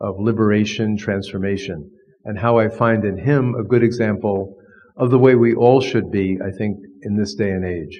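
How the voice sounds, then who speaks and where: In an American accent, a man with a fairly low pitch and fairly even intonation speaks at a moderate pace amid audible room echo. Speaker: professor of divinity, Jesuit priest. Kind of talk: lecture.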